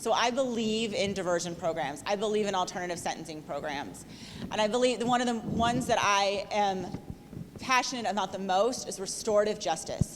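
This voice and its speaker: The voice moves at a fairly quick pace with ordinary pitch variation. Audible room echo surrounds it. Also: woman, medium pitch for a woman. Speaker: political candidate. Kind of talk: debate. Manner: loud.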